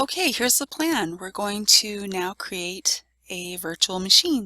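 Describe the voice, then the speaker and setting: With a dry, close sound and no echo, a woman speaks in a plain, everyday voice, her intonation lively and her loudness swinging widely. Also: medium pitch for a woman, fairly slow pace. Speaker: IT tutorial presenter. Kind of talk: software tutorial screencast narration.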